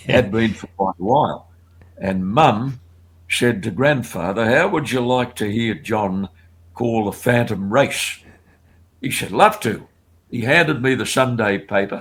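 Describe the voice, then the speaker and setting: An Australian-accented man at medium pitch, fairly slow and with ordinary pitch variation, broken by long, frequent pauses, on a very clean recording with a silent background. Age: 80s. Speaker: race caller and broadcaster. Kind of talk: interview answer, reminiscing on a podcast.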